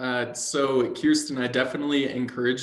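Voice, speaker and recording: A man talks at a moderate pace. Audible room echo is present. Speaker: ocean policy advocate. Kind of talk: webinar presentation.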